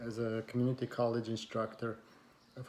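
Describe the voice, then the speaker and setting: A man speaks in a dark, mellow tone at a fairly low pitch. His intonation is monotone and flat. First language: not English. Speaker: community college instructor. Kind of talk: personal talk to camera. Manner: hesitant, many fillers.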